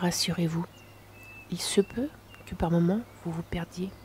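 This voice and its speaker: A woman's fairly low, fairly evenly intoned voice at a very slow pace, with noticeable background noise. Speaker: relaxation guide. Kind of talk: guided meditation. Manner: soft-spoken.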